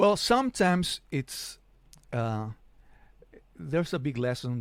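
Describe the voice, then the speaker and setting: Speaking at a moderate pace, a man with a fairly high pitch makes very wide pitch swings. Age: 50s. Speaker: podcast host and former engineer. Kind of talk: interview. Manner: halting.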